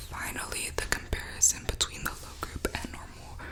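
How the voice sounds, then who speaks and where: Whispering very slowly, a woman is heard through noticeable background noise. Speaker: student. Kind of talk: reading of academic notes aloud in English. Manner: soft-spoken, quiet.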